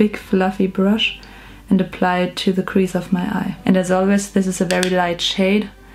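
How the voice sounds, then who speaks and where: A woman at a medium pitch and moderate pace, monotone and flat, with noticeable background noise. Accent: strong German. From Germany. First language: German. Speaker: beauty vlogger. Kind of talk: makeup tutorial. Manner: hesitant with fillers.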